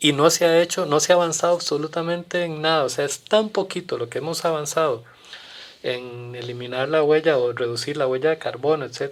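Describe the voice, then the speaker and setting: This man talks fairly quickly. His pitch shifts in an ordinary way. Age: 60s. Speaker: community guest on environmental issues. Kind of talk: podcast interview. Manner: halting with frequent repetitions.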